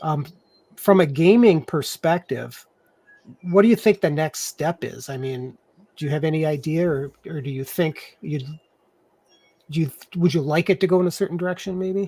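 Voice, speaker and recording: With a dark, mellow tone yet fairly high pitch, a man speaks with long, frequent pauses in a dry, close sound with no echo. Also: ordinary pitch variation, moderate pace. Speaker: talk show host. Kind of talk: casual interview. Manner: halting, self-interrupting.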